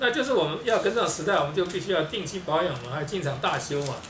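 A man speaks at a very fast pace with very wide pitch swings. Audible room echo and light background noise surround him. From Taiwan. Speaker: video blogger and self-improvement speaker; video blogger, speaker. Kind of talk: monologue talk to camera. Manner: halting, repetitive. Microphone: webcam.

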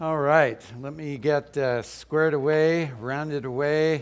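Against a quiet background, a man talks at a very slow pace. His pitch has ordinary variation. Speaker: lay preacher. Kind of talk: sermon. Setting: stage with audience. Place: church.

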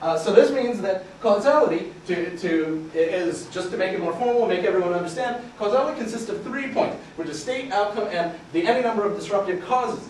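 A man talks at a fairly quick pace with lively intonation. Audible room echo and light background noise are present. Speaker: researcher. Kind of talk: research presentation to a live audience. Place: classroom.

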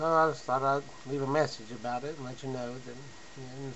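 At a moderate pace, a man with a medium pitch speaks in a monotone, flat intonation over noticeable background noise. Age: 30s. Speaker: video blogger. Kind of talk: casual vlog monologue.

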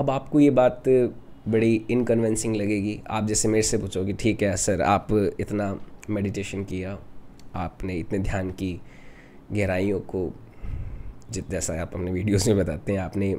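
Over light background noise, a man with a dark, mellow tone speaks at a fairly low pitch, very slowly and with fairly even intonation. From Rajasthan, India. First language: Rajasthani (speaking Hindi). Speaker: meditation teacher. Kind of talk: spiritual talk. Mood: calm, explanatory. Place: home room. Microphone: studio mic.

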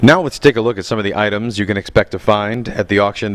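Speaking at a very fast pace, a man with a fairly low pitch has an upbeat tone. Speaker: auction preview presenter. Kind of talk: promotional walkthrough with auctioneer-style sales pitch. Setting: walking through an auction house. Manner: brisk, upbeat, rattling off lot items in a fast salesman patter; enthusiastic, inviting.

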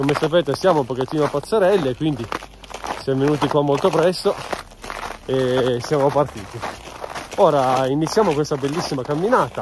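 Speech at a moderate pace comes through with a dry sound with no echo and noticeable background noise. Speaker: hiker vlogger. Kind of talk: casual vlog chat. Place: forest. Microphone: phone near.

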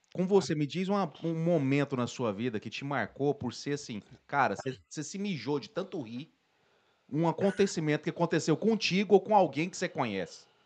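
Lively intonation and big swings in loudness at a moderate pace, against a quiet background. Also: man, fairly high pitch for a man. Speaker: podcast host. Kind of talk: casual chat. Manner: casual, slangy. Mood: joking, storytelling. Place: studio. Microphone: studio mic.

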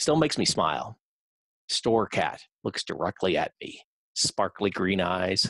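A man with an American accent and lively intonation, dry with no echo, over a quiet background. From US Midwest. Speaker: poet. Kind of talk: poem performed. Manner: conversational, reflective. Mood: wry, nostalgic. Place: home room. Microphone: headset.

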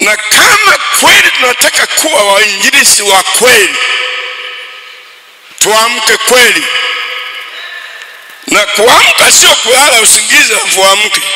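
A man speaks at a very slow pace in a high-pitched voice. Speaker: preacher. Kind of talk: sermon. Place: church. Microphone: handheld.

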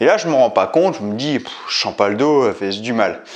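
A man with a plain, everyday voice talks at a moderate pace against a quiet background. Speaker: fitness coach. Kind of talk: tutorial. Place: gym. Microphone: camera far.

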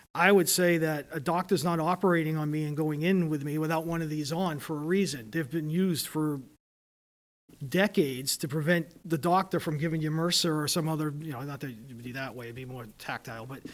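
Talking at a fairly quick pace, a man uses a fairly high pitch with ordinary pitch variation and big swings in loudness. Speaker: public health official. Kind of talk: public meeting discussion. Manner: fast.

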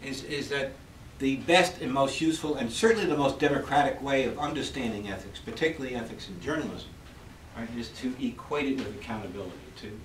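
A man speaks at a very fast pace. There is audible room echo and light background noise. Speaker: university professor. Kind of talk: lecture. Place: classroom.

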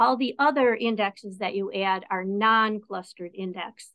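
The background is quiet. A woman talks at a fairly slow pace. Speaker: presenter. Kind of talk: lecture. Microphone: video call.

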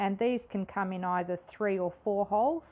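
A woman's voice with a dark, mellow tone. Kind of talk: tutorial. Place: workshop.

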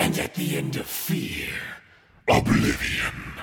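In a put-on character voice, a man talks at a fairly slow pace with a raspy, fairly high pitch. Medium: tutorial demo. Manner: creepy.

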